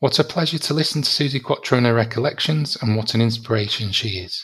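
This man talks at a fairly quick pace, with a medium pitch and ordinary pitch variation. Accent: British. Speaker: podcast host. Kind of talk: interview.

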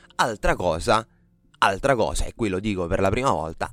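Music plays in the background as a man talks. His pitch varies in an ordinary way. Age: 30s. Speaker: podcast host. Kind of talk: solo podcast monologue. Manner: halting, many fillers.

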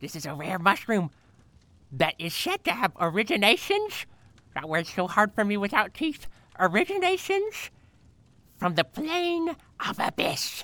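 A female-sounding voice at medium pitch uses a put-on character voice, moving at a moderate pace with long, frequent pauses. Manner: crotchety, scolding.

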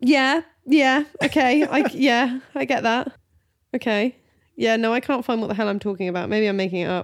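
A woman's high-pitched voice with a British accent, ordinary pitch variation and a moderate pace. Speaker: podcast host. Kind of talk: casual banter between spouses. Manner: playful, teasing.

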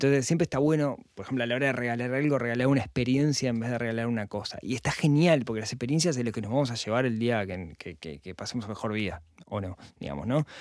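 Talking at a very fast pace with hardly any pauses, a man keeps a medium pitch and lively intonation. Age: 40s. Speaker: personal finance podcaster. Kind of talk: casual interview chat.

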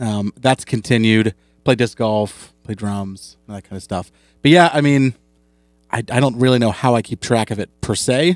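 A man's plain, everyday voice at medium pitch and moderate pace, with ordinary pitch variation, big swings in loudness, and a dry, close sound with no echo. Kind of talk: casual chat, relaxed comedian banter on a live show. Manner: laid-back, conversational, riffing and wry.

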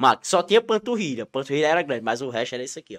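Very wide pitch swings mark this man's fairly high voice. The recording is very clean, with a silent background. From Ceará, Brazilian Northeast. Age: 20s. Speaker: content creator. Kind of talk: casual interview chat. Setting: studio, live stream.

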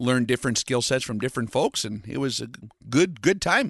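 A man talks at a fairly quick pace with an Upper Midwest accent. The sound is dry and close with no echo, over a quiet background. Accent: Upper Midwest American. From US, North Dakota. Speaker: long-range shooting instructor. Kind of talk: interview.

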